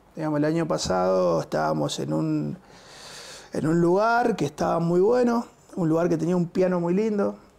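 The pace is moderate. Loudness stays very even throughout. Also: man. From Argentina, Buenos Aires area (Quilmes); Argentina. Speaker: musician, bassist and music school director; teacher, interview guest. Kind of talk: interview. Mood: relaxed, warm. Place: studio. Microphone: lapel.

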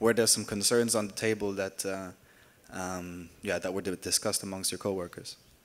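The speech moves at a moderate pace. Its intonation is monotone and flat. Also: man, fairly low pitch for a man. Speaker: audience member. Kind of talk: audience question. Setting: stage with audience. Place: hall. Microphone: handheld.

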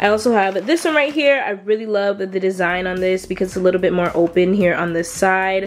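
A woman talks at a fairly quick pace with hardly any pauses and ordinary pitch variation. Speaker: lifestyle vlogger. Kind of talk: casual product review chat. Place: home room.

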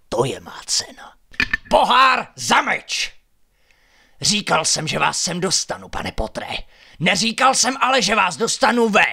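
A man uses a put-on character voice pitched high.

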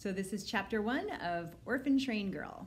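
Her pitch swings very widely. The woman sounds somewhat breathy. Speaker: librarian. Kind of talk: children's book read-aloud. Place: home room. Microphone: phone near.

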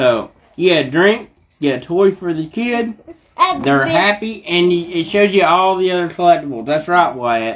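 A man's high-pitched voice with lively intonation. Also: moderate pace. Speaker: parent toy reviewer. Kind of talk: casual vlog chat. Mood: cheerful, laughing. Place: home room.

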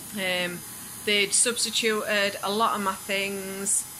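With noticeable background noise behind her, a woman speaks at a very slow pace in a monotone, flat intonation. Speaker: food vlogger. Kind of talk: casual vlog chat. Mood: stressed, a bit flustered. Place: home room.

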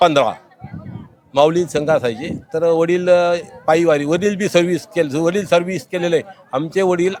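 High-pitched male voice over noticeable background noise. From Maharashtra, Pune area. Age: 60s. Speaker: retired government technical officer, pilgrim. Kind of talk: interview. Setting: outdoors.

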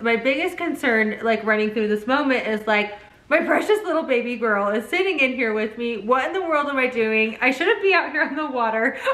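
A woman with a high pitch talks at a moderate pace, with audible room echo. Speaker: family vlogger. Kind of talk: casual vlog chat. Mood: animated, laughing storytelling. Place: home room.

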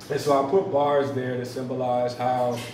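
A man talks at a fairly slow pace. Noticeable background noise and audible room echo surround his voice. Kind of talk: artist talk about own painting. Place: cafe. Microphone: camera far.

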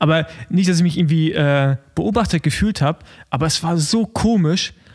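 This man has an ordinary speaking voice, fairly high in pitch, with ordinary pitch variation. He talks at a fairly slow pace. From Rostock, eastern Germany. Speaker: podcast co-host, former pro cyclist. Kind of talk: casual chat.

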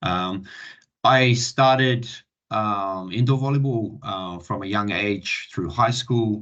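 With a slight New Zealand accent, a man speaks very slowly at a fairly low pitch with ordinary pitch variation. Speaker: Olympic volleyball coach. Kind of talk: online presentation. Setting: online video session. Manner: halting, many fillers.

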